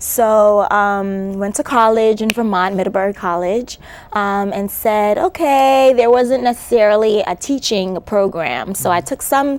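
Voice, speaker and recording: Fairly slow speech with hardly any pauses, a slight Caribbean accent and ordinary pitch variation. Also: woman, fairly high pitch for a woman. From New York City, born in Antigua. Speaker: educator and author. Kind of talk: interview. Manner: hesitant, many fillers.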